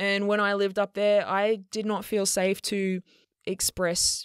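A woman speaks at a moderate pace in a dry, close sound with no echo. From Australia. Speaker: podcast host and queer fitness coach. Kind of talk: educational solo podcast talk.

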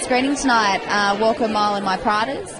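A woman with an Australian accent talks at a fairly quick pace, crowd noise behind her. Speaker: trade show model and actress. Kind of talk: interview answer. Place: street. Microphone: handheld.

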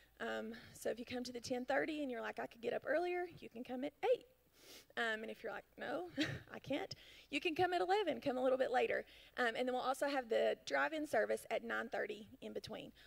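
Delivered at a fairly quick pace over a quiet background, the speech shows big swings in loudness. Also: woman. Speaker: church announcer. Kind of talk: church announcements. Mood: friendly, upbeat. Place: church. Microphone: handheld.

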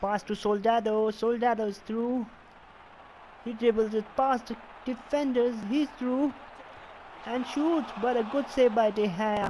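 Speaking at a fairly slow pace with long, frequent pauses, a man with an extremely high pitch and fairly even intonation is heard over crowd noise in the background. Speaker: gaming YouTuber. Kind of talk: FIFA gameplay commentary, play-by-play. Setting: voiceover recorded over gameplay.

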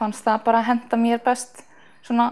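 Against a quiet background, a woman talks with a high pitch. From northeast Iceland, rural Þingeyjarsveit; Iceland. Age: 20s. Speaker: athlete, long jumper and sprinter. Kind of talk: interview. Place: home room. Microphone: lapel.

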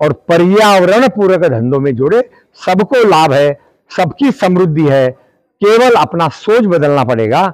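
Pitched high, a man's voice swings very widely in pitch at a very slow pace, its loudness very even. The sound is dry with no echo, against a quiet background. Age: 70s. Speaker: retired civil servant and activist. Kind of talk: speech at a public event. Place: open country. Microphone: lapel.

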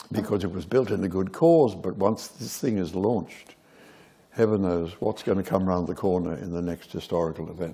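Speaking at a fairly quick pace with an Australian accent, a man has a very deep, low pitch, a dark, mellow tone and ordinary pitch variation. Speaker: theatre director. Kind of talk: onstage interview. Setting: stage with audience.

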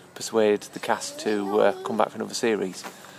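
A man talks fairly quickly while light background noise sits underneath. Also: dry sound with no echo. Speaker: family vlogger. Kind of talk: casual vlog chat. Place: forest. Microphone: phone near.

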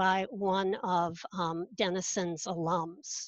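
No echo is present, and the sound is dry. Behind it, all is quiet. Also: woman. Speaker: instructional technologist. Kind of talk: conference panel presentation. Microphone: webcam.

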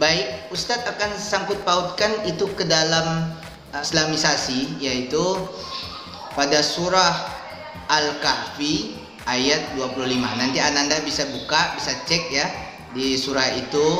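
Very slow male speech with ordinary pitch variation, audible room echo and clear music in the background. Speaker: teacher. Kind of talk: lesson to pupils.

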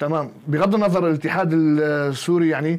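This man talks at a moderate pace in a fairly high pitch, his intonation fairly even. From Syria, Qamishli; Syria. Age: 20s. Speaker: bodybuilding coach and athlete; bodybuilding coach. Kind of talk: interview. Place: studio. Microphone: lapel.

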